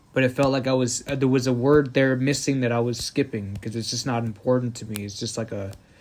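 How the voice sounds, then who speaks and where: The intonation stays fairly even at a very fast pace. Background noise is noticeable. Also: man, medium pitch for a man. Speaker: podcast host. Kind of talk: casual monologue. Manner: skips words.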